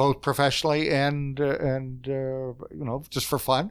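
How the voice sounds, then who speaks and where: A man with an Eastern Canadian accent speaks at a fairly high pitch and a fairly slow pace. The recording is very clean, with a silent background. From Canada, Fredericton, New Brunswick. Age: 60s. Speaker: executive director of a social services organization. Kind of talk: casual interview chat.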